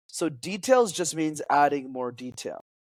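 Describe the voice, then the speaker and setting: A man speaks in an animated tone. The recording is very clean, with a silent background. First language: French. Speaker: public speaking coach. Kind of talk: podcast interview.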